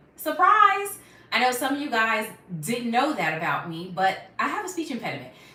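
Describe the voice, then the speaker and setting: With noticeable background noise and audible room echo, a woman talks at a moderate pace in a high pitch with very wide pitch swings. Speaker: YouTuber on natural hair care. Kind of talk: live stream Q&A. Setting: live stream at home. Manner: casual, chatty.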